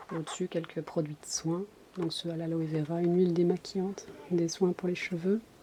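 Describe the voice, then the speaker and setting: A soft-spoken woman talks at a fairly slow pace in a fairly low pitch, her intonation flat and monotone. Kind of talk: casual ASMR collection show-and-tell.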